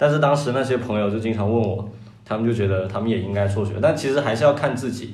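Delivered at a very fast pace, the speech comes through noticeable background noise and audible room echo. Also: man. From Guangdong, China. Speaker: comedy writer. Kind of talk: casual chat.

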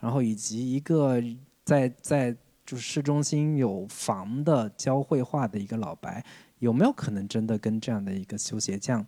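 In a southern Chinese accent, a man speaks in a dark, mellow tone at a medium pitch and moderate pace, with ordinary pitch variation. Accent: southern Chinese accent in Mandarin. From Jiangsu-Zhejiang region, China. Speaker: film podcast host. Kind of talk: casual chat.

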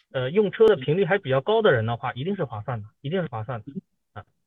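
Using an unremarkable speaking voice, a man with fairly high pitch talks at a fairly quick pace with lively intonation. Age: 30s. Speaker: car owner, auto supply chain worker. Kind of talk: casual chat. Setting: online meeting.

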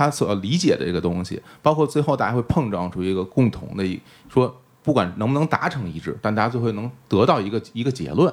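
A man at a medium pitch, very fast, with very wide pitch swings. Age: middle-aged. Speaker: podcast host and stage performer. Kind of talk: casual interview chat.

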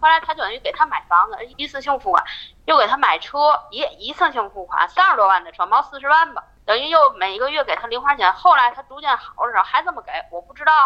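A woman with a high pitch speaks very fast, with very wide pitch swings and big swings in loudness. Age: 40s. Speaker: caller sharing her marriage story. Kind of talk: personal testimony. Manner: halting, repetitive.

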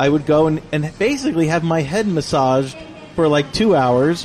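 A man's fairly high voice at a moderate pace over noticeable background noise. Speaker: podcast co-host. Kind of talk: casual chat. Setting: cafe.

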